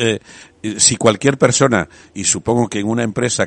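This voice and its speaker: Talking at a fairly quick pace, a man with a fairly low pitch speaks with vocal fry. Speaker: radio host. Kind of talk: radio talk show.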